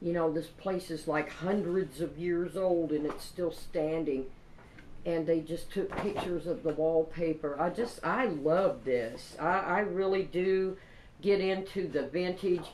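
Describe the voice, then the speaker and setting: With a Kentucky accent, a woman speaks at a fairly low pitch with ordinary pitch variation. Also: fairly slow pace. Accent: Kentucky country. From Kentucky, Paducah. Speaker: craft vlogger. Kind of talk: product haul show-and-tell. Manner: animated.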